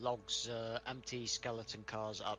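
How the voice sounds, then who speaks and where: Here a man speaks in a Welsh accent. His pace is fairly slow. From Wales. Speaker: online gamer playing a train simulator. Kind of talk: casual chat during multiplayer game.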